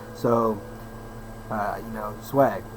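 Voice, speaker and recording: A man with fairly even intonation, over noticeable background noise. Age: 30s. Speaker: personal trainer and vlogger. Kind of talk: casual monologue vlog.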